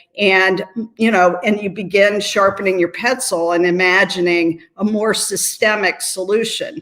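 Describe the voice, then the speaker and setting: This woman has an American accent and a medium pitch. She talks at a fairly slow pace with very even loudness and fairly even intonation. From US Midwest, Appalachian Ohio. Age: 60s. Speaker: nonprofit CEO and lawyer. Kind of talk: interview.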